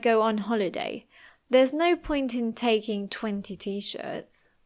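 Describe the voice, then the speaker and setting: A woman with a British accent speaks at a high pitch and a fairly slow pace, her intonation lively. The recording is very clean, with a silent background. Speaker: English teacher. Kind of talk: English lesson narration. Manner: slow, clear.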